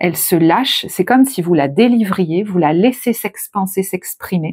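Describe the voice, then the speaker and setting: A woman, soft-spoken, at a fairly slow pace. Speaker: tarot reader. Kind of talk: tarot reading. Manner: soft, calm; shifts from soft to firm.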